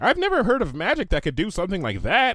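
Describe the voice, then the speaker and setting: On a very clean recording with a silent background, a man does a put-on character voice at a very fast pace and a high pitch. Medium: read story.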